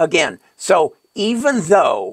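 Very slowly, the man talks while the background stays quiet. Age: 80s+. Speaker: retired financial advisor and investing channel host. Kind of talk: tutorial. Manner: halting, stumbling over words. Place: home room.

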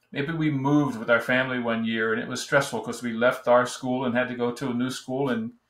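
A man with an American accent, moderate pace and fairly even intonation, in audible room echo. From New Jersey. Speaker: business storytelling coach; presenter or coach. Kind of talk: online course video lesson. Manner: casual, with frequent fillers. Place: home room. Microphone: webcam.

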